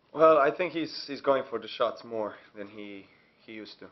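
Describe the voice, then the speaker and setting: At a moderate pace, a man is talking. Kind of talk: interview answer. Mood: calm, thoughtful. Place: hall.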